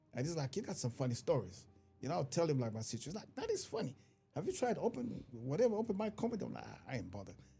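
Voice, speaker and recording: Over music in the background, a man with an African accent speaks at a very fast pace in a fairly high pitch. His pitch swings very widely, and his loudness shifts a lot. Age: 50s. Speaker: stand-up comedian. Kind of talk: casual chat.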